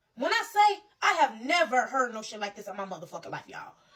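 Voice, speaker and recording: A woman speaks in an animated tone. Her voice is loud. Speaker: social media commentator. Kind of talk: impassioned rant.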